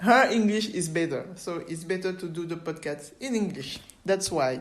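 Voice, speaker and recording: With a non-native accent, a woman speaks at a moderate pace and fairly low pitch with ordinary pitch variation, and audible room echo surrounds her. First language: French. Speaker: podcast host. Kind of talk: interview. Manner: halting.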